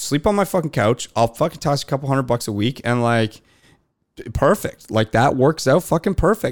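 Speaking with a Canadian accent, a man has an unremarkable speaking voice at medium pitch, lively intonation and a moderate pace, in a very clean recording with a silent background and a dry, close sound with no echo. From Canada. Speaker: beverage company founder. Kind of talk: casual chat.

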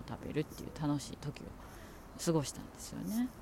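A woman speaks with a very deep, low pitch and a dark, mellow, relaxed tone. Her pace is fairly quick and her intonation lively. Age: 40s. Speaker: podcaster. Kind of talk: casual chat. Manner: rambling, relaxed.

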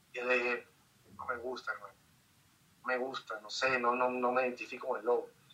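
A man's medium-pitched, flat, monotone voice at a fairly quick pace, broken by long, frequent pauses, over noticeable background noise. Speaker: photographer and influencer. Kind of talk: casual interview. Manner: talkative.

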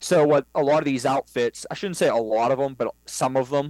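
With a plain, everyday voice and an American accent, a man of medium pitch speaks at a moderate pace in a dry, close sound with no echo on a very clean recording with a silent background. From western Pennsylvania, New Castle area. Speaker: hunting guide. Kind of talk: casual interview.

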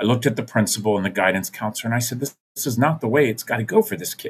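A man with an American accent speaks in a somewhat breathy voice with ordinary pitch variation. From US Mid-Atlantic (Maryland, Virginia, DC). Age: 50s. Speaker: nonprofit founder and foster care advocate. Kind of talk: interview storytelling. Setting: video call.

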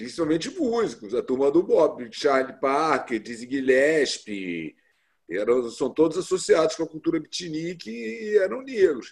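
Fairly high in pitch, a man talks at a fairly slow pace while his pitch swings very widely. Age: 50s. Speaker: translator and editor. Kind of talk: interview. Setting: video call.

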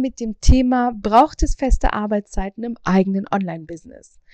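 Animated tone from a woman at a moderate pace, the sound dry and close with no echo. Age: 30s. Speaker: podcast host, online business owner. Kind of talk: solo podcast monologue. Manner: casual, animated.

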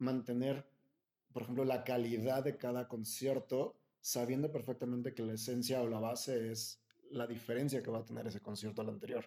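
Medium in pitch, a man has a plain, everyday voice with fairly even intonation. He keeps a moderate pace. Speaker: podcast host. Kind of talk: interview.

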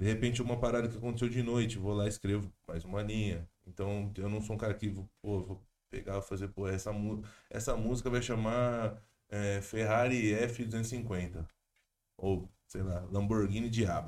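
In a very clean recording with a silent background, a man with an ordinary speaking voice talks at a moderate pace, his fairly low pitch kept in fairly even intonation. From interior of São Paulo state, Brazil (Jundiaí). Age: 20s. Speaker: rapper. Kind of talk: casual chat.

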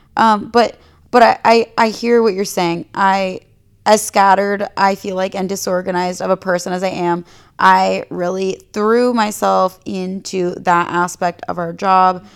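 This woman has a normal speaking voice at medium pitch, speaking at a fairly slow pace with fairly even intonation. The recording is very clean, with a silent background. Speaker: fashion blogger and Instagram creator. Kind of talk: fired-up profane pep talk, rhetorical questions to listeners.

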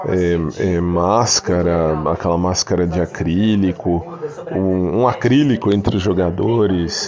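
A man's very deep, low voice at a very slow pace, with ordinary pitch variation, very even loudness and noticeable background noise. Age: 40s. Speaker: podcaster. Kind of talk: casual monologue.

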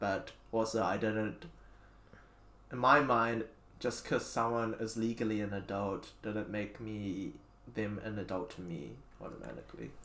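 With vocal fry and a fairly low pitch, a man talks at a moderate pace and uses ordinary pitch variation. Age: 20s. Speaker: podcast host. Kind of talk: casual chat.

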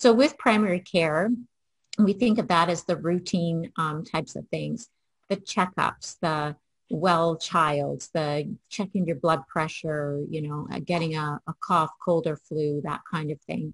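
A woman's fairly low, somewhat breathy voice, fairly slow, with ordinary pitch variation and a dry, close sound with no echo. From Canada, Toronto. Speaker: family physician. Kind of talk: conference keynote presentation.

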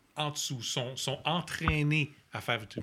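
With a Quebec accent, a man talks at a fairly high pitch in a bright, sharp tone with vocal fry. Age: 40s. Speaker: agile coach. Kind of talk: casual chat.

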